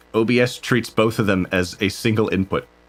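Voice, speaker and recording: The man's pitch is medium. He talks at a moderate pace. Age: 20s. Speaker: vtuber musician streamer. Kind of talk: casual live stream chat. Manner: animated.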